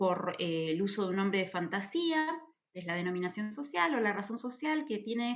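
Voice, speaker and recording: A woman speaks with lively intonation at a moderate pace. There is audible room echo. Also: medium pitch for a woman. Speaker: university lecturer. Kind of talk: lecture.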